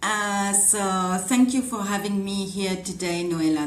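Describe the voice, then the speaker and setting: A woman's medium-pitched voice in a French accent, with audible room echo. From France. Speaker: communication strategist. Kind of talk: webinar panel introduction.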